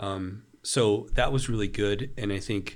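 A man's plain, everyday voice with a fairly low pitch and fairly even intonation. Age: 40s. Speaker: author and preacher. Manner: measured, intentional.

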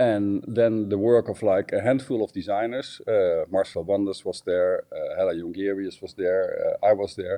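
A man with a Dutch accent at a moderate pace, hardly any pauses, and a dry, close sound with no echo. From Netherlands. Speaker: designer. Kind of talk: interview. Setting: phone or video call from home. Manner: halting, many filler sounds.

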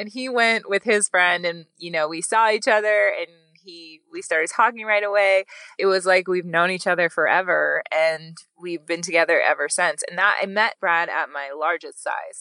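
Speaking at a moderate pace, a woman with a medium pitch and a bright, sharp tone shows big swings in loudness. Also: ordinary pitch variation, dry, close sound with no echo. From Wyoming. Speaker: model and agency founder. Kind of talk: casual interview chat.

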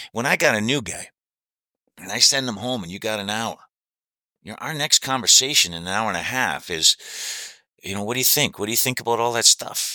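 A man with a medium-pitched voice talks at a fairly quick clip, with ordinary pitch variation, big swings in loudness and long, frequent pauses, on a very clean recording with a silent background. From Canada, Hamilton, Ontario. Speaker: recovering alcoholic sharing recovery experience. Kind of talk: casual chat.

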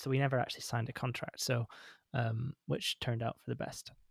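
Speaking fairly quickly with fairly even intonation, a man with a Scottish accent talks at a medium pitch in a dry, close sound with no echo on a very clean recording with a silent background. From Scotland. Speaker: musician discussing his album. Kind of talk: casual chat.

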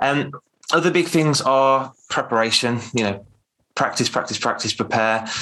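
With an English Midlands accent, a man speaks in a bright, sharp tone with ordinary pitch variation. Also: medium pitch for a man, moderate pace. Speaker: public speaking coach. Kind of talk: casual interview. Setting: video call.

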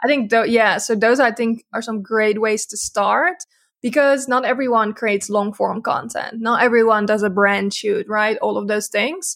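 With a Dutch accent, a woman talks at a moderate pace with hardly any pauses, her pitch fairly high, on a very clean recording with a silent background. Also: ordinary pitch variation. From Netherlands. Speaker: social media agency owner. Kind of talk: casual interview.

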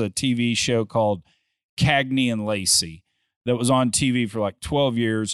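In a normal speaking voice, a man talks at a medium pitch with ordinary pitch variation over a quiet background. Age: 50s. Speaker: private equity investor and podcaster. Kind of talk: casual chat.

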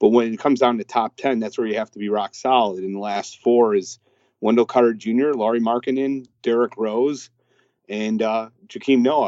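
At a moderate pace, a man talks in an ordinary speaking voice with fairly even intonation. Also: medium pitch for a man. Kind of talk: casual sports debate. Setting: phone call. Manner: talkative, opinionated.

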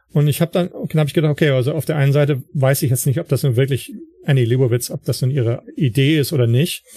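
Very fast and somewhat breathy, a man's dark, mellow voice sits at a fairly high pitch with ordinary pitch variation. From northern Germany, Wilhelmshaven. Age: 50s. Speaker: photography blogger and writer. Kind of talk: interview. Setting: online call.

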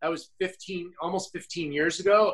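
This man's voice sits high in pitch. His intonation stays fairly even. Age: 50s. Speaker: health and wellness coach, former model. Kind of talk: interview conversation.

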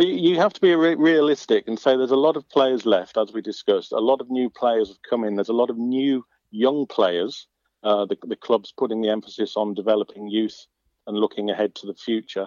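In an unremarkable speaking voice, the speaker talks at a fairly quick pace with ordinary pitch variation and big swings in loudness. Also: man, medium pitch for a man. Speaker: match reporter and author. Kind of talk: interview about a match.

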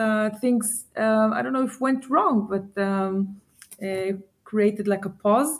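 On a very clean recording with a silent background, a woman with an Israeli accent speaks fairly slowly in a fairly high, somewhat breathy voice with ordinary pitch variation. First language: Hebrew. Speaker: startup founder and CEO. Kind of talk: interview. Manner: halting, many fillers.

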